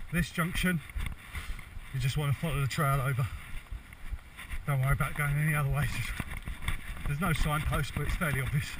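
There is noticeable background noise as a man talks at a fairly quick pace with fairly even intonation, the sound dry with no echo. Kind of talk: casual vlog chat. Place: forest. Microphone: phone near.

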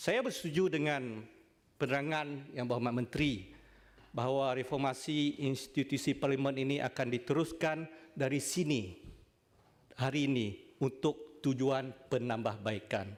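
A man with an ordinary speaking voice talks at a fairly slow pace and a fairly high pitch. His loudness stays very even, with ordinary pitch variation. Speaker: senator. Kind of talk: parliamentary debate speech. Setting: legislative chamber. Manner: formal.

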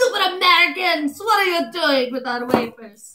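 Using a put-on character voice, a woman speaks at an extremely high pitch. Her pitch swings very widely. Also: moderate pace. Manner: mocking, exaggerated, bad accent.

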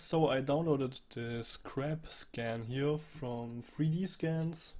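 Here a man's fairly high, somewhat breathy voice shows ordinary pitch variation. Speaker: 3D graphics tutorial creator. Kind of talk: software tutorial. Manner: casual with hesitations.

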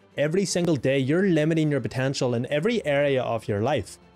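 Faint music plays in the background. A man talks at a fairly quick pace with ordinary pitch variation. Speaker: self-improvement creator. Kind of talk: casual vlog chat. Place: home room. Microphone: studio mic.

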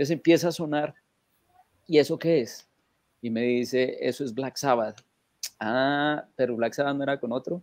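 A man speaks at a moderate pace with long, frequent pauses, his pitch fairly high and his intonation fairly even. The background is quiet, and the sound is dry with no echo. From Colombia (Manizales); Colombia. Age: 40s. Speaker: rock fan; guest. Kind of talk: anecdote telling. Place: home room. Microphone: webcam.

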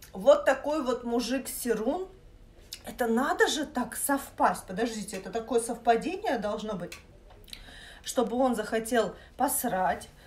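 A woman's high-pitched voice moves at a fairly slow pace, with long, frequent pauses and big swings in loudness. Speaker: vlogger. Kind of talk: casual vlog chat, storytelling. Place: kitchen. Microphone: phone near.

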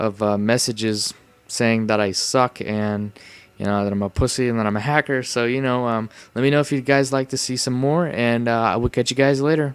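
A quiet man's voice at medium pitch, with fairly even intonation and a fairly quick pace. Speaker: gaming youtuber. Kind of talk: casual video commentary.

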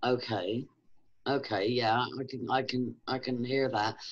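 The background is quiet as a woman talks. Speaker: online video host. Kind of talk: interview. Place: home room. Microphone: webcam.

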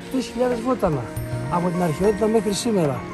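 Clear music sits in the background as a man speaks with a dry sound and no echo. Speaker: tour guide. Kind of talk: travel commentary. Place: forest. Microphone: phone near.

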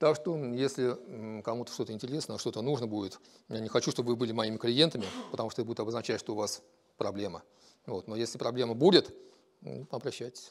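A man talks at a very fast pace in a medium pitch, with long, frequent pauses. His pitch varies in an ordinary way against a quiet background. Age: 50s. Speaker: business owner. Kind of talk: self-presentation. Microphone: lapel.

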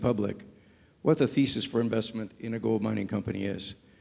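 A man's fairly quick delivery shows ordinary pitch variation. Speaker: panelist. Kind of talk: panel discussion answer. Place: hall. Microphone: handheld.

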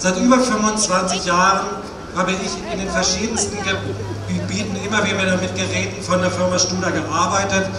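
Loud background noise and audible room echo fill the recording. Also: man, moderate pace. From Switzerland. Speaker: opera house sound engineer, customer. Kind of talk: protest speech, solidarity address. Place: street. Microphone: pa.

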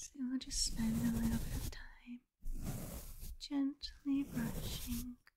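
A soft-spoken woman talks at a very slow pace. Noticeable background noise is present. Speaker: ASMR creator. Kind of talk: soft ASMR narration. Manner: soft close-mic ASMR voice. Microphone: studio mic.

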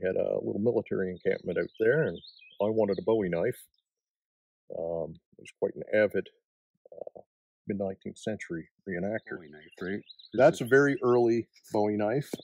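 A man speaks at a moderate pace in a Maritime Canadian accent, with big swings in loudness. The sound is dry with no echo, and long pauses come often. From Nova Scotia. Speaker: knife smith. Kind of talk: casual interview. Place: forest. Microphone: lapel.

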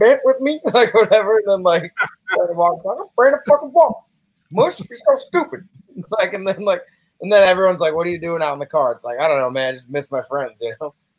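With a quiet background, a man speaks at a very fast pace in a high pitch, his voice swinging very widely. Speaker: podcast guest. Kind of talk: casual chat. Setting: video call. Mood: joking, laughing among friends. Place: home room.

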